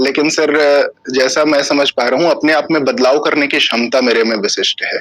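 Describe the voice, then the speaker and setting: A man's fairly high voice with ordinary pitch variation and very even loudness. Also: moderate pace. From Chhattisgarh, India (Raigarh district). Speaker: civil services interview candidate. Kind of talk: job interview. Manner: formal, hesitant with fillers.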